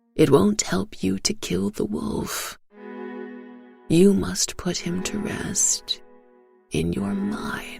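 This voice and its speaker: Faint music plays in the background as a croaky, low-pitched put-on character voice speaks at a very slow pace. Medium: read story. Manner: slow, solemn.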